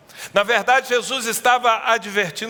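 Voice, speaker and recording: Through noticeable background noise, a man talks at a fairly quick pace in a raised, projected voice. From Brazil, Northeast. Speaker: pastor. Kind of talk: sermon.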